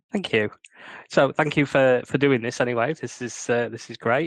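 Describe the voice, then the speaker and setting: A man's medium-pitched voice in a northern English accent, fairly even intonation and a quiet background. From northern England. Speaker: crime fiction author. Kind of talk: interview. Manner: hesitant, many fillers.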